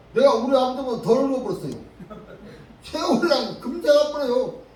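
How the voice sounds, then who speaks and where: A man's extremely high-pitched voice with ordinary pitch variation and long, frequent pauses, amid noticeable background noise and audible room echo. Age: 80s+. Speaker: pastor. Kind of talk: sermon.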